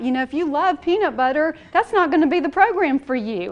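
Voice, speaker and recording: With a Southern US accent and a high pitch, a woman talks at a fairly quick pace in an animated tone with lively intonation. Noticeable background noise runs underneath. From US South. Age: 40s. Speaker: nutrition coach. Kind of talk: presentation to an audience. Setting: church hall with audience. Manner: fast.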